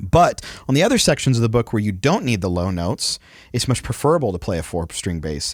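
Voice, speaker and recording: Talking at a very fast pace, a man swings his pitch very widely. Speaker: church sound tech podcast host. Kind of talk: casual chat.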